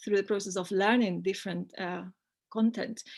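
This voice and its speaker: A woman with a Spanish accent speaks at a medium pitch in a flat monotone against a quiet background. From Spain. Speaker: academic presenter. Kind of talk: conference presentation. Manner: hesitant, many fillers.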